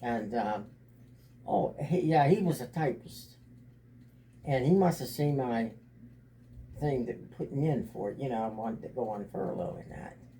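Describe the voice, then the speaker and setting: With lively intonation and a medium pitch, a man talks in a somewhat breathy voice at a moderate pace, leaving long, frequent pauses, his loudness swinging widely. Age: 80s+. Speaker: grandfather and military veteran. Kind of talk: family interview, reminiscing. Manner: halting, repetitive.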